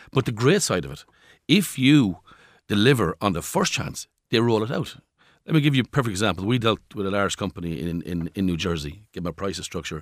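In a very clean recording with a silent background and a dry, close sound with no echo, a man talks at a fairly quick pace with lively intonation. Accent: Irish. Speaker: company chief executive. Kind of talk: interview. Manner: repeats words, stammering starts.

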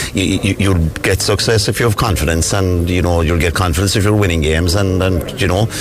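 Very fast, monotone, flat speech in a Cork accent, with noticeable background noise and audible room echo. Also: man. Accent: Cork Irish. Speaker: football manager. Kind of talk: post-match interview.

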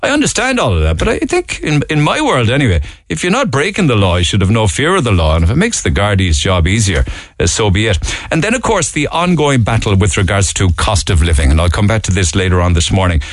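A man with a Cork accent talks at a very fast pace and very even loudness over noticeable background noise. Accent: Cork Irish. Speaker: radio talk show host. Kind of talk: phone-in talk radio. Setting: radio studio.

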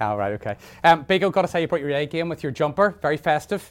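Delivery is fast-paced, with lively intonation. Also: man, fairly high pitch for a man.

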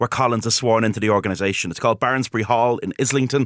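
Talking at a very fast pace with ordinary pitch variation, this speaker has a Dublin accent, captured in a dry, close sound with no echo. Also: man. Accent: Dublin Irish. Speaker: historian. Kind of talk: radio interview. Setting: studio.

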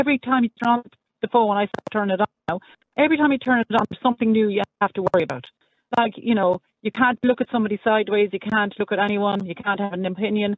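A woman talks at a very fast pace with an Irish accent. Her pitch is fairly high. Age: 60s. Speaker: radio talk show caller. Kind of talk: casual chat.

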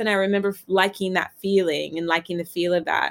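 In an American accent, a woman with an ordinary speaking voice talks at a moderate pace and medium pitch on a very clean recording with a silent background. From US South, Virginia. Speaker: fashion editor and author. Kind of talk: casual interview chat.

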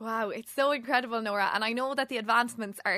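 A woman with an Irish accent talks at a very fast pace in a fairly high pitch, sounding enthusiastic. Her tone is bright and sharp, and the sound is dry and close with no echo. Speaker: podcast host. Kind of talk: interview.

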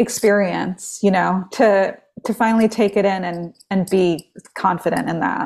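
A woman's ordinary speaking voice at a medium pitch, with an American accent and a fairly slow pace. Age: 30s. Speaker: singer-songwriter. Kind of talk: casual chat. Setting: video call.

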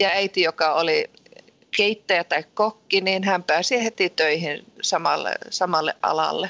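Delivered at a fairly slow pace, the speech has very even loudness and fairly even intonation. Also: woman, medium pitch for a woman. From Sweden (southern), Finnish family from Lapland. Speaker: guesthouse owner. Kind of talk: interview. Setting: phone call.

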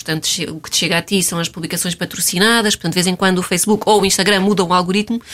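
Noticeable background noise runs through the clip. A woman speaks in a fairly low voice. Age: 30s. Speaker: blogger. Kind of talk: casual chat.

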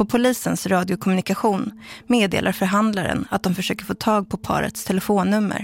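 At a fairly quick pace, a woman speaks with vocal fry. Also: medium pitch for a woman, fairly even intonation. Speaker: documentary narrator. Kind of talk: scripted narration.

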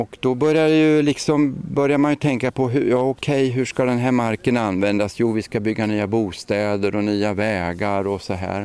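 A normal speaking voice with ordinary pitch variation, at a moderate pace. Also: man, medium pitch for a man. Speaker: retired municipal ecologist. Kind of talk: outdoor interview. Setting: outdoors.

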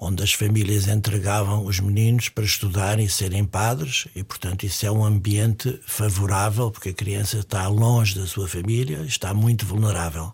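A man with a fairly low pitch speaks at a moderate pace, with hardly any pauses. His voice is somewhat breathy. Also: fairly even intonation. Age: 70s. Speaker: psychiatrist. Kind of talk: interview.

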